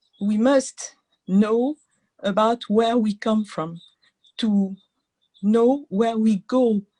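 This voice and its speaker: At a very slow pace, a woman in a French accent speaks with fairly high pitch and ordinary pitch variation, in a dry, close sound with no echo. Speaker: entrepreneur. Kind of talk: webinar contribution. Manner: halting.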